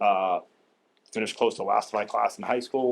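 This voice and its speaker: With a Boston accent, a man talks at a fairly quick pace in a medium pitch. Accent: Boston-area. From Saugus, Massachusetts. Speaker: town meeting candidate. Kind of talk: candidate speech at public forum. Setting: public library forum. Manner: blunt.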